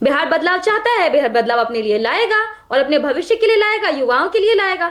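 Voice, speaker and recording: At an extremely high pitch, a woman talks at a moderate pace with very wide pitch swings and very even loudness. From Bihar, Magadh region. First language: Magahi (speaking Hindi). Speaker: political party spokesperson. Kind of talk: heated TV debate. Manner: animated.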